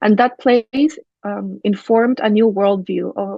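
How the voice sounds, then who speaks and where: A woman is speaking. She has a Spanish accent. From Chile (Valparaíso). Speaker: architect and urban designer. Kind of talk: academic presentation.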